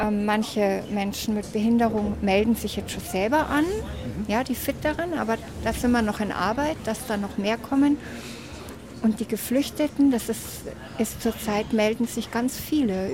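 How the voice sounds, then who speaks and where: Background noise is noticeable in this clip. Over it, a woman talks with a fairly high voice. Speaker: hiking group organizer. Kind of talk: casual chat. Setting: outdoors.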